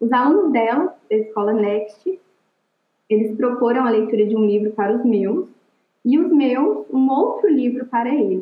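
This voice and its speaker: Using a normal speaking voice, a woman with a fairly high pitch talks at a moderate pace with lively intonation. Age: 20s. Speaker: literature teacher. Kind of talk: interview.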